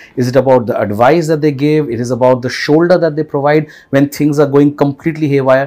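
The voice carries a dark, mellow tone with an Indian accent and fairly even intonation. It runs at a very fast pace with hardly any pauses. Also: man, fairly high pitch for a man. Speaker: podcast host. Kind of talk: casual interview conversation.

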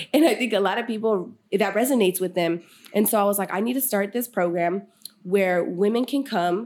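Using a normal speaking voice, a woman talks at a medium pitch and a fairly quick pace with ordinary pitch variation. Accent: American. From Sacramento area, California. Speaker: podcast host and mentor. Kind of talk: casual interview chat.

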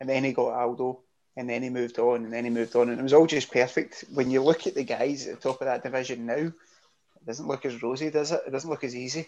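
This man talks at a very fast pace with a Scottish accent, his medium-pitched voice held in a monotone, flat intonation. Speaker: podcast co-host. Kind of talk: casual chat. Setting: video call.

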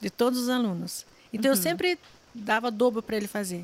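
A woman speaks at a fairly high pitch, the sound dry and close with no echo. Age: 40s. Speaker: pastry chef and gastronomy teacher. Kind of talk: casual interview chat.

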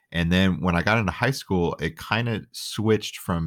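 A man talks at a moderate pace, his pitch varying in an ordinary way, on a very clean recording with a silent background. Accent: American. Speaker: car audio installer. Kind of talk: casual podcast chat.

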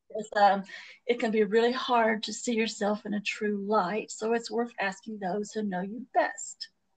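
A woman talks in a somewhat breathy voice at a fairly high pitch. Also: ordinary pitch variation, moderate pace. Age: 40s. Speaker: podcast co-host. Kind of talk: casual chat.

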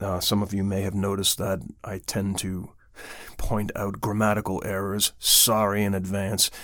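This man has an unremarkable speaking voice, fairly low in pitch, moving at a fairly slow pace. The recording is very clean, with a silent background. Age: 50s. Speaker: metal band vocalist and podcast host. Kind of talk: casual podcast chat.

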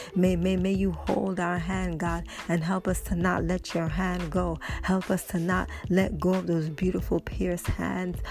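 With music in the background, a woman talks at a fairly slow speed. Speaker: prayer call leader. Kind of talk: fervent prayer. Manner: fervent, repetitive, exclamatory; rhythmic, rising praise with hallelujahs.

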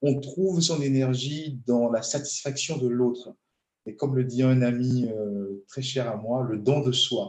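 A man talks at a very slow pace with a somewhat breathy voice. His pitch sits in the medium range and varies in an ordinary way. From Benin. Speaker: transport engineer and entrepreneur. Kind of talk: interview. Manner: hesitant, many fillers.

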